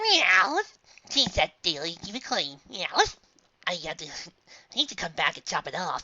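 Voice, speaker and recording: A woman puts on a playful character voice at a medium pitch. She keeps a moderate pace with long, frequent pauses. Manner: playful, meowing.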